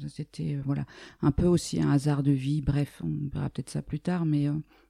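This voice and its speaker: The voice belongs to a woman with a dark, mellow tone. She talks at a moderate pace in a dry, close sound with no echo. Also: very clean recording, silent background. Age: 60s. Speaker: dance teacher and sophrologist. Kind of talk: casual interview.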